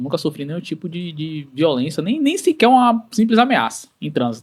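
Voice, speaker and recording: Pitch swings very widely while the words come at a moderate pace. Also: man. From Bahia, Brazil (Santo Amaro). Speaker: podcast host. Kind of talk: casual chat.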